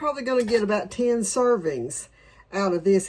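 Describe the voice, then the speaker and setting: In a Southern accent, a woman speaks with ordinary pitch variation. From Tennessee, US South. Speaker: home cook and homesteading channel host. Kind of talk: cooking tutorial. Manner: casual, chatty.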